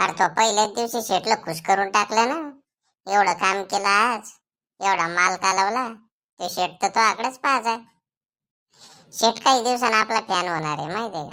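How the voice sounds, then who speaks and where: A woman puts on a cartoonish character voice at a medium pitch, with big swings in loudness. She speaks at a moderate pace on a very clean recording with a silent background. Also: ordinary pitch variation. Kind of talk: rural Marathi cartoon comedy.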